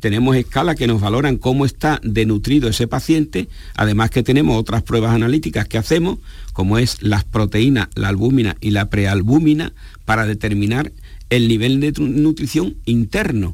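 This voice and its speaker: A normal speaking voice at a moderate pace, with very even loudness and ordinary pitch variation. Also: man, medium pitch for a man. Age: 60s. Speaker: geriatrician. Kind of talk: radio interview. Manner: formal.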